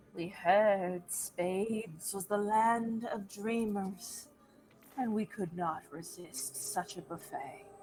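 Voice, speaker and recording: A woman in a shrill, put-on character voice at a medium pitch and very slow pace. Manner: sobbing.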